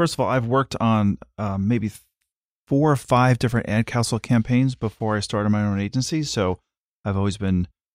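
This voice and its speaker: In a normal speaking voice, a man with a fairly low pitch and ordinary pitch variation talks at a fairly quick pace, the sound dry and close with no echo on a very clean recording with a silent background. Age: 50s. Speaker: advertising creative director. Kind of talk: interview.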